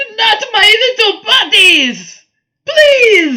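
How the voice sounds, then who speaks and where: The speaker uses a put-on character voice pitched extremely high. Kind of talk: tabletop role-play, in character. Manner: pleading, whiny, dramatic.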